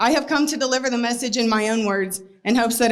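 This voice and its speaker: With audible room echo, a woman speaks in a shaky, fairly high voice at a fairly quick pace with fairly even intonation. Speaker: animal rescue advocate. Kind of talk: speech read from paper. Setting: stage before a crowd. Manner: shaky, emotional.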